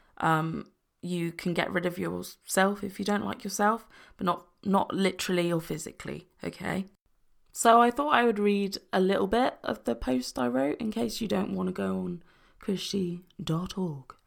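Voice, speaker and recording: A woman speaks with lively intonation and a soothing tone at a moderate pace. The recording is very clean with a silent background. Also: medium pitch for a woman. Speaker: podcast host discussing mental health. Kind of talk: solo podcast monologue, calm and supportive. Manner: soothing, personable.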